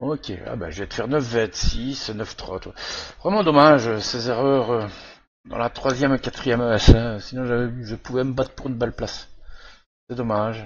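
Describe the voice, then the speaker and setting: Speaking at a moderate pace and medium pitch with ordinary pitch variation, a man leaves long, frequent pauses while his loudness swings widely. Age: 50s. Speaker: sim racing gamer. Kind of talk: gameplay commentary. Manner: hesitant, many fillers.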